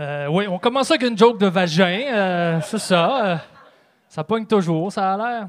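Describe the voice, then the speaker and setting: Pitched high for a man, this male voice moves at a fairly slow pace with ordinary pitch variation. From Trois-Rivières, Quebec. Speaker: stand-up comedian. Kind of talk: stand-up. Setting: stage with audience.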